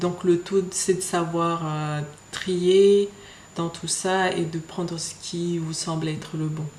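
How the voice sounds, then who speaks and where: In a Mayotte accent, the speech is monotone and flat at a very slow pace, with audible room echo and noticeable background noise. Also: woman. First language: Shimaore (speaking French). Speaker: beauty vlogger. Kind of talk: casual vlog. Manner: hesitant, many fillers.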